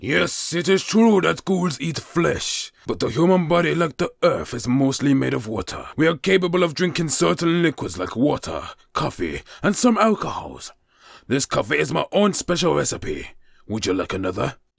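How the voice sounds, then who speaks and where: A man puts on a character voice, pitched fairly high. He talks at a moderate pace. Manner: calm, paternal, dryly humorous.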